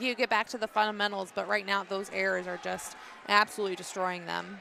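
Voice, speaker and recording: Through noticeable background noise, a woman talks at a very fast pace. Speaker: volleyball color commentator. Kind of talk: live commentary.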